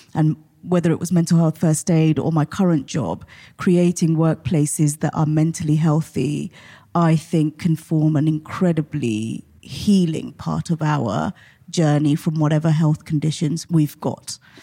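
Speaking at a fairly slow pace with fairly even intonation, a woman with a very deep, low voice and a dark, mellow tone talks in a southern English accent on a very clean recording with a silent background. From Portsmouth, southern England. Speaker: mental health charity CEO. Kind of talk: interview.

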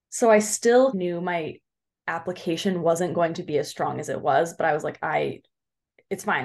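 Using an ordinary speaking voice, a woman with an American accent speaks at a moderate pace in a fairly low pitch, with ordinary pitch variation. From Southern California, Orange County. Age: 20s. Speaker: PA student. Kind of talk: interview.

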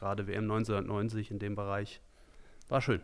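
A very clean recording of a man, the background silent. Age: 40s. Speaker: amateur football coach. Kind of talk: podcast interview.

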